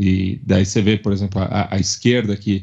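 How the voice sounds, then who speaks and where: A man talks at a fairly low pitch with monotone, flat intonation. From Brazil, São Paulo. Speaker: podcast network representative and football commentator. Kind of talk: casual chat. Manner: halting, with frequent fillers.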